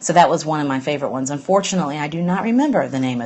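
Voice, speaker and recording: Very fast and with lively intonation, a woman with an Alabama accent speaks at a very deep, low pitch. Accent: Southern US (Alabama). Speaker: green business blogger. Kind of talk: casual live-stream monologue. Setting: live stream from home, late at night. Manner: hesitant, lots of fillers.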